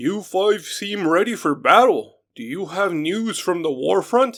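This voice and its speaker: A man speaks in a put-on character voice, high-pitched with lively intonation. He goes at a fairly slow pace over a very clean recording with a silent background. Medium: read story. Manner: polite, welcoming.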